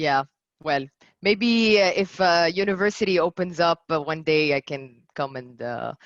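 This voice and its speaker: A woman with a French accent, fairly low-pitched, with lively intonation at a moderate pace, in a dry, close sound with no echo against a quiet background. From France, Paris. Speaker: commercial manager, guest speaker. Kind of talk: Q&A after a talk. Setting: video call. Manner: hesitant, many fillers.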